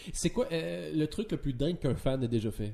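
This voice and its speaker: A man's somewhat breathy, medium-pitched voice with a Quebec accent, a dark, mellow tone and very wide pitch swings. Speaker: comedian and podcast host. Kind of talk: casual chat.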